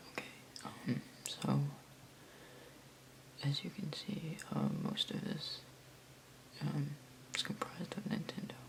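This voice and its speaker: The speaker is soft-spoken and talks at a fairly slow pace with long, frequent pauses. Noticeable background noise is present. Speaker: ASMR creator. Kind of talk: ASMR figure collection show-and-tell.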